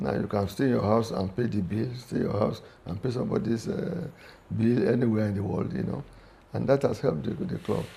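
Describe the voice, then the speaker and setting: Noticeable background noise runs under the recording. A man speaks over it with lively intonation. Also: medium pitch for a man, fairly quick pace. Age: 70s. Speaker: sports club veteran member and former golf captain. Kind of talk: interview. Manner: halting, with frequent repetitions.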